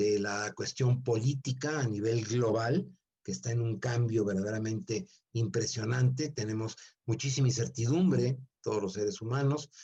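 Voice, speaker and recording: The man has a dark, mellow tone at medium pitch, somewhat breathy. He moves at a moderate pace with ordinary pitch variation. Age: 70s. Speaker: seminar speaker. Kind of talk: lecture.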